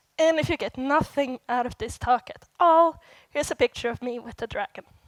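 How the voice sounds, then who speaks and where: In a very clean recording with a silent background and a dry, close sound with no echo, a woman with a Swedish accent talks at a fairly quick pace in a high pitch, with ordinary pitch variation and big swings in loudness. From Sweden. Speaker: software developer, conference speaker. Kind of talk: conference talk. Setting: stage with audience.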